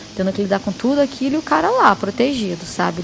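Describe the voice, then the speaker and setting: A woman speaks at a medium pitch with lively intonation and a fairly quick pace. Noticeable background noise runs under her voice. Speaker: musician guest. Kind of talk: interview answer.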